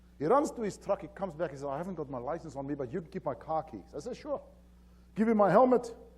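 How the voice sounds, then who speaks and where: A man with a strong South African accent talks very fast in a high voice, his pitch swinging very widely. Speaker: safety consultant. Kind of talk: conference presentation. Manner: hesitant, many fillers.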